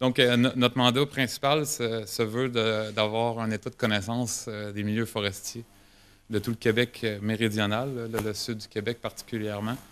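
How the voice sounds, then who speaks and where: A man keeps a medium pitch and a moderate pace, his intonation monotone and flat. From Quebec. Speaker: government geomatics specialist. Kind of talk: conference presentation. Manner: halting, many hesitations and repetitions.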